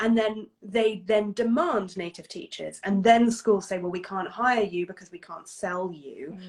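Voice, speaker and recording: An ordinary speaking voice runs on with hardly any pauses. Its loudness swings widely. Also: woman, medium pitch for a woman, ordinary pitch variation, fairly slow pace. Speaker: English teacher and video host. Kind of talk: casual chat. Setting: Instagram live video call.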